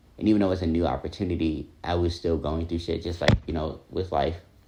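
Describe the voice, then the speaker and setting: A man with an American accent speaks in a dark, mellow tone that is somewhat breathy. His intonation stays fairly even. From New Jersey, US. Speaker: vlogger. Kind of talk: personal vlog monologue. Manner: reflective, casual with fillers.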